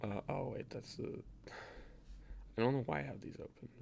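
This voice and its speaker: Soft-spoken, a man talks at a moderate pace. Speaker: game developer streaming. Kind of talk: live coding stream, casual. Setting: live stream.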